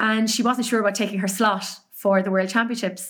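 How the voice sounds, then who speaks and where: A woman's medium-pitched voice in a Cork accent, with monotone, flat intonation. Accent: Irish (Cork). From Ireland, Cork. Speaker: race announcer and podcaster. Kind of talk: casual interview chat.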